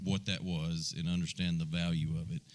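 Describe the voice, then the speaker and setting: A man's voice with ordinary pitch variation. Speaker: podcast host. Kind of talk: casual chat. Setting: live venue with audience. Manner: soft-spoken.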